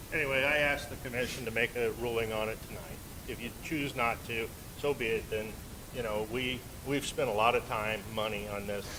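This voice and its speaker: A man of medium pitch talks at a fairly quick pace with fairly even intonation, with audible room echo and noticeable background noise. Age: 60s. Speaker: car dealership owner, applicant. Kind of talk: public hearing testimony.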